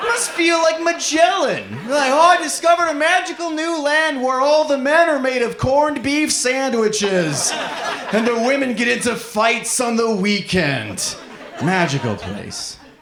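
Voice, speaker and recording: In an extremely high pitch, a man speaks fairly slowly with lively intonation, with audible room echo and noticeable background noise. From Nebraska, US Midwest. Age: 30s. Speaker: comedian. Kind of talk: stand-up. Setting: stage with audience.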